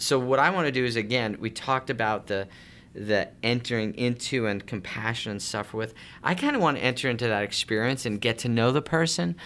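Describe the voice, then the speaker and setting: An ordinary speaking voice with an American accent moves at a fairly quick pace with ordinary pitch variation, captured in a very clean recording with a silent background. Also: man, medium pitch for a man. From Long Island, New York. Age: 40s. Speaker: homeless shelter director. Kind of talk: interview.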